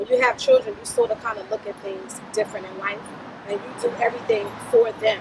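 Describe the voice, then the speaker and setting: Noticeable background noise under a woman's moderately paced speech. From Brooklyn, New York. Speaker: motivational speaker. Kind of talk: casual interview.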